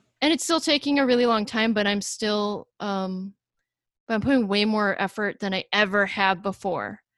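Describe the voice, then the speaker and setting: A woman speaks in an ordinary speaking voice at medium pitch and a moderate pace, with ordinary pitch variation. The recording is very clean, with a silent background. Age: 30s. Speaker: picture book illustrator and podcast co-host. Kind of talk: casual chat.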